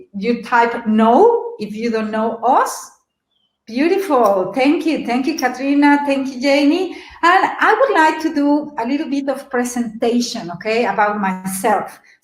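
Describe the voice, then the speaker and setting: With lively intonation and a high pitch, a woman speaks at a fairly slow pace amid audible room echo. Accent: slight Mexican. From Mexico City. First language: Spanish. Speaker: webinar presenter. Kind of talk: webinar presentation. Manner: animated.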